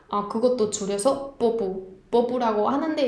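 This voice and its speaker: The speech moves at a fairly slow pace with ordinary pitch variation. Noticeable background noise can be heard. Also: woman. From northern Spain. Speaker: Spanish language teacher. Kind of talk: language lesson talk to camera.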